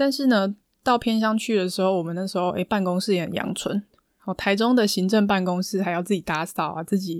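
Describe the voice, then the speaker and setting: Heard on a very clean recording with a silent background, a woman talks at a fairly quick pace with a medium pitch. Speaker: podcast host and counselor. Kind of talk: solo podcast monologue. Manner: calm, soothing.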